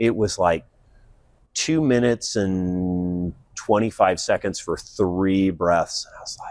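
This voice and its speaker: A man at a very slow pace, fairly low in pitch, with ordinary pitch variation and big swings in loudness. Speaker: physician and leadership coach. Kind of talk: interview conversation. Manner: animated.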